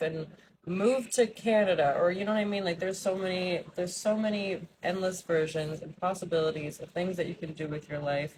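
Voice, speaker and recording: A woman's fairly low, somewhat breathy voice at a moderate pace, with ordinary pitch variation. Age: 30s. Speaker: vlogger. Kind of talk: casual vlog monologue. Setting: outdoors.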